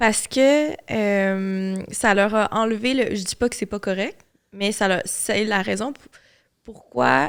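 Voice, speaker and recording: A woman speaks with a Quebec accent at a fairly slow pace. Her pitch is medium, with ordinary variation. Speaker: podcast host. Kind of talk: casual chat.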